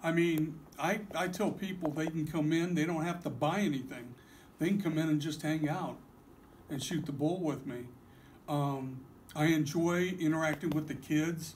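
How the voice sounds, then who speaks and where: Audible echo fills the room as a man speaks at a fairly high pitch. His pace is moderate, with fairly even intonation. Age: 60s. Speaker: card shop owner. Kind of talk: interview. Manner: halting.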